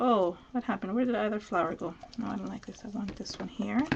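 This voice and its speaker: A woman speaks with a fairly high pitch. Her voice has vocal fry. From Venezuela. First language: Spanish. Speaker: crafter. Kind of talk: live craft tutorial. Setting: live stream video.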